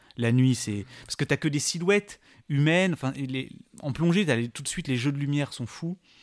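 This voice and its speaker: A man's normal speaking voice at a fairly quick pace, with ordinary pitch variation, in a dry, close sound with no echo and a very clean recording over a silent background. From La Réunion. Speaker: science YouTuber. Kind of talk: casual interview chat.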